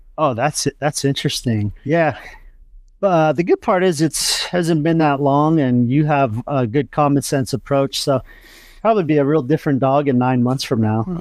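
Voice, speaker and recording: On a very clean recording with a silent background, a man with an unremarkable speaking voice talks at a moderate pace with ordinary pitch variation. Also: fairly high pitch for a man, very even loudness. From Southern California, Huntington Beach. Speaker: army veteran and dog trainer. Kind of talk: casual interview chat.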